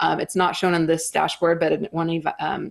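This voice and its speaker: At a very fast pace, a woman talks with a fairly low pitch. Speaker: company executive presenting at a trade event. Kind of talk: conference presentation. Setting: stage at a live trade event. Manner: many fillers (um, uh).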